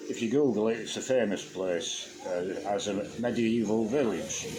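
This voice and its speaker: In a Yorkshire accent, the speaker goes at a moderate pace with ordinary pitch variation, and audible room echo can be heard. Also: man. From Yorkshire, England (Huddersfield area). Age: 70s. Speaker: YouTuber, expat farmer. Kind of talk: casual monologue. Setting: at home, quiet morning. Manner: relaxed, some hesitations.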